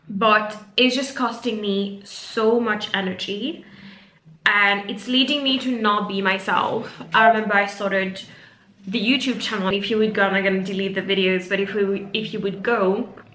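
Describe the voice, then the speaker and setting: Noticeable background noise and audible room echo surround this woman's voice. She talks at a moderate pace with fairly even intonation. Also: medium pitch for a woman. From Mauritius. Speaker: career coach. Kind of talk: casual vlog monologue. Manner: unscripted, some filler words.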